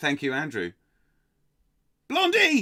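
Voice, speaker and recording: A man with an English accent and a bright, sharp, animated tone speaks at a fairly slow pace, in a dry, close sound with no echo and a very clean recording with a silent background. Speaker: quiz host. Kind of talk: live-streamed pub quiz hosting, reading chat. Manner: animated, casual.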